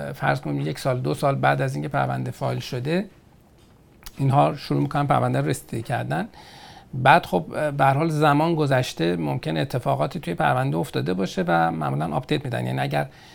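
A man's very deep, low voice with vocal fry, a fairly quick pace, and very wide pitch swings. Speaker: immigration consultant answering viewer questions on TV. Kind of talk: call-in style Q&A show reading and answering questions.

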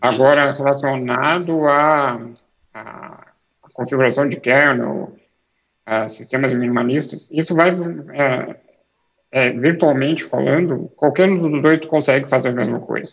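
This man talks at a fairly slow pace and a medium pitch, with ordinary pitch variation and long, frequent pauses. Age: 30s. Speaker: embedded Linux engineer and author. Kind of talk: interview.

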